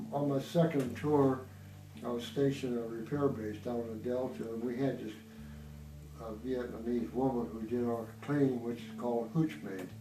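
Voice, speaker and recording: Audible room echo surrounds a man speaking at a moderate pace and medium pitch with ordinary pitch variation. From Iowa, US Midwest. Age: 70s. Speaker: war veteran. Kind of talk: personal testimony interview. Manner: halting, with fillers.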